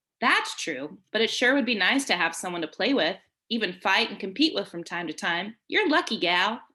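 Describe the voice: This is plain reading aloud with lively intonation. The background is quiet.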